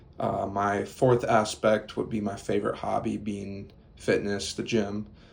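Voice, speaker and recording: A man with an American accent, fairly low pitch, vocal fry, monotone, flat intonation and a moderate pace. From Minnesota, US. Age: 20s. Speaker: university student. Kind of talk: class presentation speech. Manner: halting, many fillers.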